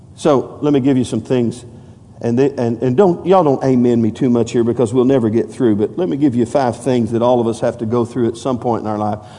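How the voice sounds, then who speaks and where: An unremarkable speaking voice from a man at medium pitch. He talks at a fairly quick pace with ordinary pitch variation. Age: 50s. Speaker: pastor. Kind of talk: evangelical sermon at a Wednesday night church service, call-and-response preaching. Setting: church with congregation. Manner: conversational, repetitive and stumbling asides with many fillers.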